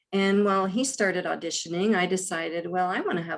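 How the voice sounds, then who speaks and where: Talking at a fairly quick pace in an American accent, a woman has an ordinary speaking voice with a fairly low pitch and ordinary pitch variation. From US Midwest, Columbus, Ohio. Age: 60s. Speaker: actress. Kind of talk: casual chat.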